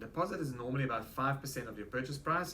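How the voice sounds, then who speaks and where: A man with a South African accent speaks at a very fast pace and a medium pitch. Audible room echo surrounds the recording. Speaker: real estate agent. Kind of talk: interview. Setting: office.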